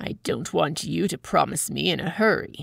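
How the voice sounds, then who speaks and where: Putting on a character voice, a woman growls at a moderate pace in a very deep, low pitch. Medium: read story. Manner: sly, self-important.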